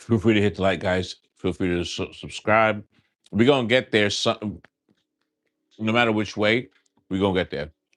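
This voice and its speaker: With an American accent, a man speaks at a moderate pace in a fairly low pitch. He uses ordinary pitch variation and takes long, frequent pauses. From New York, Long Island. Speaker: live-stream scratch-off gamer. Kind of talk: casual live-stream chat. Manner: casual, animated.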